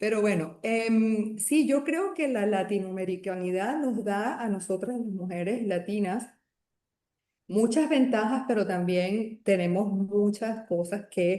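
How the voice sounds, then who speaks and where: A woman speaks at a very slow pace and medium pitch. Her tone is dark and mellow, with ordinary pitch variation. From Latin America. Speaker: doctor. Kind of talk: interview. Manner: animated.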